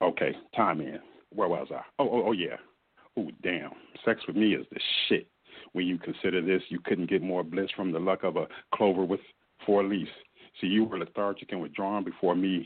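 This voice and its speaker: The speaker has an animated tone. Long pauses come often. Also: man, very deep, low pitch for a man, moderate pace. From US Midwest. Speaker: spoken word poet. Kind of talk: interview with poetry performance.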